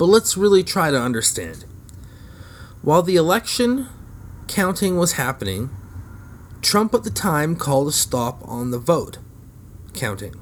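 A man's fairly high voice at a moderate pace, with very wide pitch swings and long, frequent pauses. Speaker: podcast host. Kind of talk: angry political rant. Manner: sarcastic, profane, scornful, heated.

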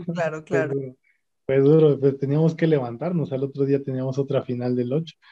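At a fairly quick pace, a man talks in a fairly high pitch with monotone, flat intonation. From Mexico City (Xochimilco). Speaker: rower. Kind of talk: interview conversation.

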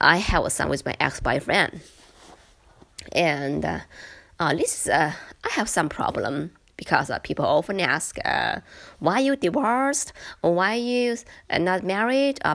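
A woman speaks at a medium pitch with very wide pitch swings and vocal fry. Her pauses are long and frequent. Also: fairly slow pace, very clean recording, silent background. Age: 30s. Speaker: podcaster. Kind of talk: personal monologue. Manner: halting.

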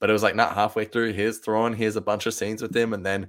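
Someone with an Australian accent talks at a very fast pace in an excited tone. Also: man. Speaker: podcast host. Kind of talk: casual chat.

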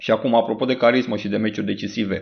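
Very fast in pace, a man speaks with ordinary pitch variation. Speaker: football podcaster. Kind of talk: angry rant, scathing monologue against a coach. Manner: fiery, sarcastic, indignant; punchy, insulting, fast-paced.

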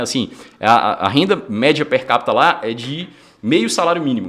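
A man at a moderate pace with a fairly high pitch. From northern Minas Gerais, Brazil (near Bahia). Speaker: entrepreneur, fitness franchise founder. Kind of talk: casual interview chat.

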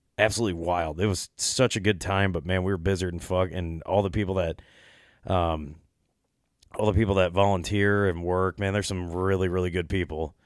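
Very clean and silent in the background, the recording has a man speaking at a fairly quick pace in a monotone, flat tone with a very deep, low pitch. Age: 30s. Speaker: podcast host. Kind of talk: casual chat. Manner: casual, halting with fillers.

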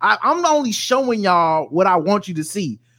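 With an American accent, a man projects a raised, bright, sharp voice at a moderate pace, his pitch swinging very widely. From US South. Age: 40s. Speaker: podcaster. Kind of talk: casual chat.

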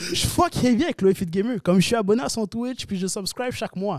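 A high-pitched man with a Quebec accent at a very fast pace, dry and close with no echo, amid noticeable background noise. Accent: regional Quebec accent others often notice. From Quebec, Sherbrooke. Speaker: content creator. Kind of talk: casual chat.

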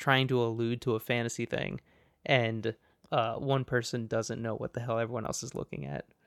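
Here a man has an unremarkable speaking voice at a medium pitch. He talks at a fairly quick pace on a very clean recording with a silent background. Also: big swings in loudness. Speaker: video game podcast co-host. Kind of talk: casual chat. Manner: jokey, laughs often.

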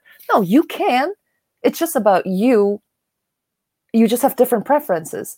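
In a dry, close sound with no echo, a woman speaks at a moderate pace with very wide pitch swings. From Germany. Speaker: podcast co-host. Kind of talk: casual chat.

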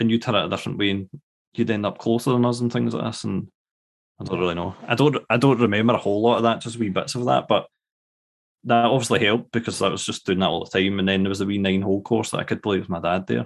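In a Scottish accent, a man speaks at a very fast pace. His fairly low voice shows ordinary pitch variation. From Scotland. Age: 30s. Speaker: guest baseball fan. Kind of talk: casual conversation.

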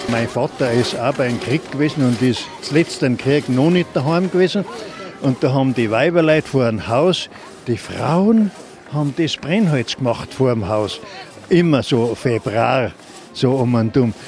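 With lively intonation and a medium pitch, a man speaks at a fairly slow pace against noticeable background noise. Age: old. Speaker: retired woodcutter. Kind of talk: interview.

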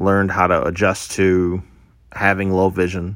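In a Midwestern US accent, a man speaks at a fairly slow pace with a very deep, low pitch. His intonation is monotone and flat, and the recording is very clean with a silent background. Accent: US Midwest. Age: 30s. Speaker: podcaster. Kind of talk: casual monologue; personal testimony.

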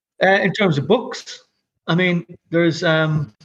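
A man speaks with a Dublin accent. His voice is fairly high-pitched. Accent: Irish (Dublin). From Ireland (Dublin). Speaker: visual artist and curator. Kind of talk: casual interview chat.

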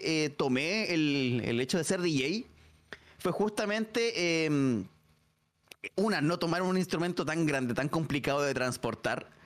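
The speech moves at a fairly slow pace with very even loudness and lively intonation. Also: man. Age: 30s. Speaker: streamer and DJ. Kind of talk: casual interview. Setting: live stream.

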